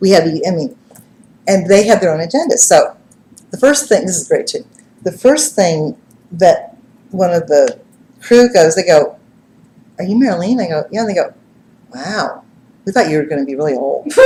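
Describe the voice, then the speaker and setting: A woman's medium-pitched, animated voice with very wide pitch swings and long, frequent pauses. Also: moderate pace. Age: 60s. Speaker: psychic medium and TV personality. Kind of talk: live stream monologue. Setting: live web stream.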